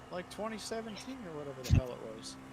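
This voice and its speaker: With noticeable background noise behind him, a man with an American accent speaks at a fairly quick pace with lively intonation. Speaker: sim racing streamer. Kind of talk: casual chat.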